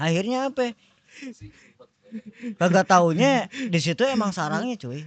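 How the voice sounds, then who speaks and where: A man with a high pitch and very wide pitch swings talks at a fairly slow pace, with long, frequent pauses. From Cimanggis, West Java. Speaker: former night-market ride crew worker. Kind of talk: casual podcast interview.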